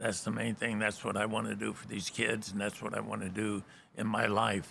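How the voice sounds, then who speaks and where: A man with a fairly low pitch and vocal fry speaks at a fairly quick pace in a bright, sharp tone with monotone, flat intonation. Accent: American. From Southern California. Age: 80s+. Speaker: bar owner and philanthropist. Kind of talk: interview. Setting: American Legion post hall.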